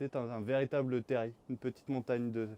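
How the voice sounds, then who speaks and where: A moderate pace in a dry, close sound with no echo. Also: man. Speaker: vlogger. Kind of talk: vlog narration; casual chat. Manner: loud.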